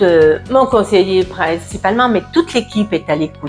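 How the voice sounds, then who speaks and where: With music playing behind her, a woman speaks at a medium pitch, her voice rising and falling in very wide swings. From France, Burgundy. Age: 70s. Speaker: dental patient. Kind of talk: testimonial interview answer. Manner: hesitant, many filler words.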